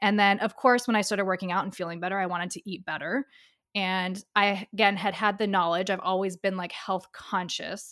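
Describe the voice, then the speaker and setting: A woman talks fairly quickly at a medium pitch with monotone, flat intonation. The sound is dry and close with no echo, and the recording is very clean with a silent background. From Dubai. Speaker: holistic health coach. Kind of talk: casual chat.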